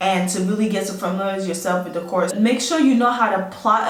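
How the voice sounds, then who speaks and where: A woman's medium-pitched voice, fairly quick and animated, with lively intonation, audible room echo and noticeable background noise. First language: not English. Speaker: army officer. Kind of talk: advice vlog. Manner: casual, animated.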